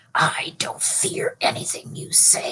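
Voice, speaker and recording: Putting on a character voice, a woman hisses and growls in a menacing tone at a fairly slow pace. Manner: hissing, menacing.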